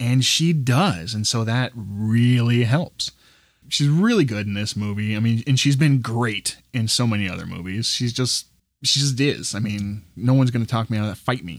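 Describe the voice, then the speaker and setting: In a very clean recording with a silent background, a man uses an ordinary speaking voice at a medium pitch with ordinary pitch variation. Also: moderate pace. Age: 40s. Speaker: movie podcast co-host. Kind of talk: casual chat.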